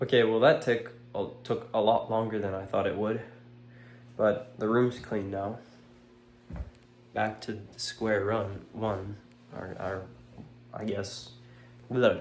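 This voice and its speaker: Very slow speech with fairly even intonation, long, frequent pauses and audible room echo. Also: man, medium pitch for a man. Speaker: vlogger documenting self-improvement. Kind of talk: casual vlog monologue. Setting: own room, on camera. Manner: hesitant, filler-heavy; quiet, mumbly.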